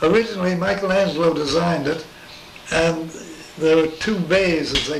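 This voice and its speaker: High pitch from a man, with noticeable background noise. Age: 80s+. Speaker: space artist. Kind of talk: interview answer. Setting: home.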